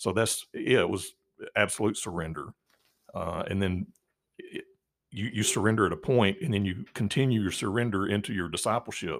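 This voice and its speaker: Speaking at a moderate pace, this man has a fairly low pitch, ordinary pitch variation and a plain, everyday voice. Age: 50s. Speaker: church elder sharing recovery from addiction. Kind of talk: testimony interview.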